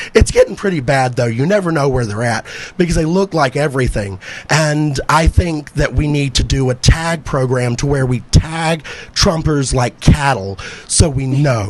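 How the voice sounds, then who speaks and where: Over noticeable background noise, a man with a fairly high pitch talks at a moderate pace with ordinary pitch variation. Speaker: stand-up comedian. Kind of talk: stand-up. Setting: stage with audience.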